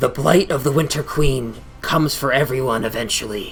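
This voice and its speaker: Using a put-on character voice, a man speaks at a moderate pace and medium pitch against clear background noise. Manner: charming and over-the-top fancy.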